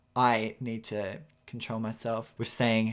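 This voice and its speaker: Someone speaks at a fairly slow pace with an Australian accent. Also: man. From Australia, rural New South Wales. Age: 20s. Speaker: podcast host and aspiring photographer. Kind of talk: solo podcast monologue. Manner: casual, with frequent fillers and self-corrections.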